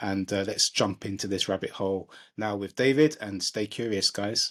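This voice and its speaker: A man with a London accent talks with a fairly low pitch. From London, England. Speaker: podcast co-host. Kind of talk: casual chat.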